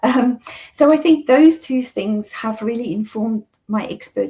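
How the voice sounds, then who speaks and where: A woman's somewhat breathy voice at a moderate pace with ordinary pitch variation. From South Africa. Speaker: occupational therapy consultant. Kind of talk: interview conversation. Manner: halting with many fillers.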